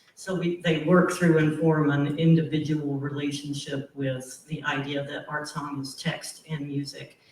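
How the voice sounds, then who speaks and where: Over noticeable background noise, a man with a fairly high pitch talks at a fairly slow pace in a monotone, flat intonation with hardly any pauses. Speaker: college professor and singer. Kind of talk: panel discussion. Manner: loud.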